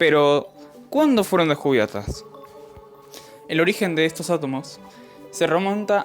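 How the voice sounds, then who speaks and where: A man speaks with music playing in the background. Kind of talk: educational science explainer narration.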